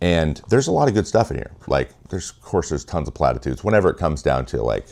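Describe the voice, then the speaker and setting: A man talks very fast with an American accent and vocal fry. His pitch varies in an ordinary way. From US Pacific Northwest, Washington state. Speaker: former pro baseball pitcher, video essayist. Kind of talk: video essay monologue. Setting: home office studio.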